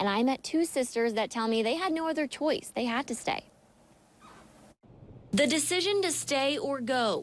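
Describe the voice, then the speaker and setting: With an American accent and a high pitch, a woman talks at a moderate pace with lively intonation and very even loudness, leaving long, frequent pauses. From Philadelphia area, Pennsylvania. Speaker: TV news reporter. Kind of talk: TV news feature narration.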